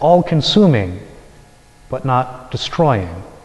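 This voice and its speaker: Noticeable background noise behind a man speaking fairly slowly. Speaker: Dominican friar. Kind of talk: homily preached to a congregation.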